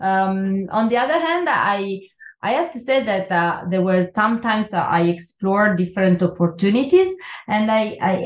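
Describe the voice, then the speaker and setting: A woman speaks with an Italian accent at a moderate pace. Her voice is somewhat breathy. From Italy, Milan. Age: 40s. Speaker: neuroscience professor. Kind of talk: interview. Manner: halting.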